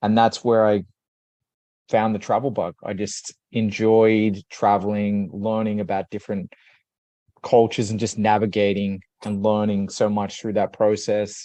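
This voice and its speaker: In an Australian accent, a man with a fairly low voice speaks fairly slowly in a monotone, flat way, his tone dark and mellow, with a dry, close sound, no echo and a quiet background. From Australia, Sydney. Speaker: leadership coach. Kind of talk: podcast interview.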